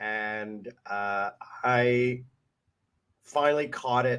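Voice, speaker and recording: At a very slow pace, a man speaks at medium pitch with fairly even intonation. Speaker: vlogger. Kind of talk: casual chat.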